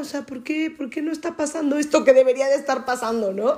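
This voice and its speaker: The speaker is a woman. She sounds dark and mellow in tone. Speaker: podcast co-host. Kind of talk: casual chat.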